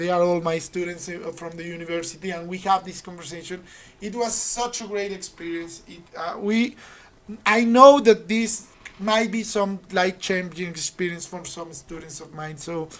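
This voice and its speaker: A woman speaks at a moderate pace with a fairly low pitch and ordinary pitch variation. Her loudness swings widely, and background noise is noticeable. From Colombia. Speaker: university finance teacher and trader. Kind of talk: casual chat.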